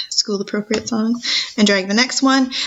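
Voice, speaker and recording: A woman's fairly high voice with ordinary pitch variation. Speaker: school teacher. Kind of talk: tutorial. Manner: fast.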